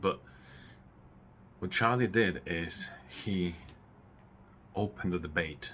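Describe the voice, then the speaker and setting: A man's bright, sharp voice with a Polish accent. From Poland. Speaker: political commentator YouTuber. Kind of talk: personal commentary monologue. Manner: halting, many fillers and repetitions.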